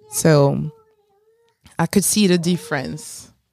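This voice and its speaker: In a French accent, a woman with a dark, mellow tone and fairly low pitch speaks at a fairly slow pace, the sound dry and close with no echo. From France, Paris suburbs. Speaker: podcast guest. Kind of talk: casual chat. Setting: studio.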